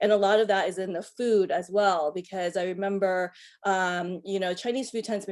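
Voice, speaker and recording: Over a silent background in a very clean recording, a woman with an American accent speaks at a fairly quick pace in a monotone, flat intonation. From US, northern Virginia (Fairfax County). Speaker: panelist. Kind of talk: panel discussion. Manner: halting, many fillers.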